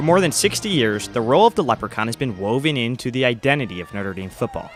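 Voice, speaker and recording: Music plays in the background as a man speaks at a very fast pace. His medium-pitched voice moves in very wide pitch swings. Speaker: student broadcaster. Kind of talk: news reporter package narration.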